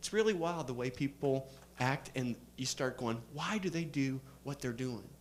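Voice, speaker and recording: A man with a plain, everyday voice speaks at a fairly slow pace with lively intonation. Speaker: seminar speaker. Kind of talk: seminar talk.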